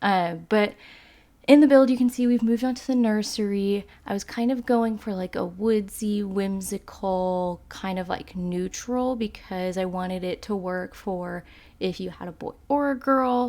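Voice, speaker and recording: A woman's dark, mellow tone carries ordinary pitch movement, captured in a very clean recording with a silent background. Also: medium pitch for a woman, fairly slow pace. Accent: slight Texas. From Texas. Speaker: video game YouTuber. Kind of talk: casual commentary over gameplay. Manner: casual, filler-heavy.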